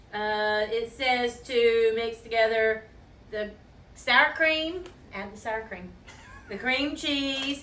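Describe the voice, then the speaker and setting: At a very slow pace with long, frequent pauses, a woman speaks at a fairly high pitch with ordinary pitch variation. Her loudness swings widely, and room echo is audible. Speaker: cooking show co-host. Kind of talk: casual cooking tutorial.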